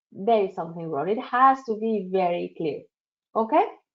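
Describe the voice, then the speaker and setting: A woman speaks with a strong non-native accent, her pitch swinging very widely. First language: not English. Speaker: career advisor leading a workshop. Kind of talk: virtual workshop presentation. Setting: online webinar.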